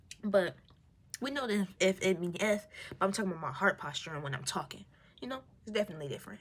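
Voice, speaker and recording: Animated and lively in intonation, a woman with a medium pitch and a somewhat breathy voice talks at a very fast pace yet leaves long, frequent pauses. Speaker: vlogger. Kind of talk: casual monologue on faith.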